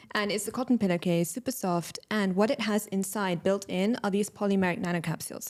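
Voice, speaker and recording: In a London accent, a woman talks at a medium pitch and fairly quick pace with fairly even intonation. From London, England. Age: 30s. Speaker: entrepreneur. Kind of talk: podcast interview.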